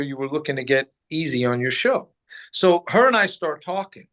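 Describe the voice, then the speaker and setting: A man with an American accent and a fairly high voice talks at a moderate pace against a quiet background. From New Jersey, US. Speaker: former radio host, boxing businessman. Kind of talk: casual interview storytelling.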